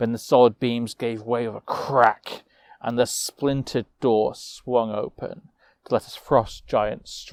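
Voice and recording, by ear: The text is read aloud in a natural-sounding voice. Intonation remains mostly level.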